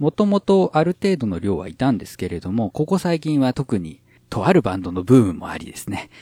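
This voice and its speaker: Very clean and silent in the background, with a dry, close sound and no echo, the clip has a man speaking at a moderate pace in a dark, mellow tone with big swings in loudness. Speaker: podcast host, a cappella enthusiast. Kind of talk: casual chat, explaining a cappella and audio effects. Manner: animated, jokey, explanatory.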